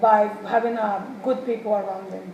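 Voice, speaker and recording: A woman speaks at a moderate pace with a fairly high pitch and fairly even intonation. Noticeable background noise and audible room echo accompany her. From Mexico. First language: Spanish. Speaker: human services student. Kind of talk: mock job interview. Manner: halting, many fillers.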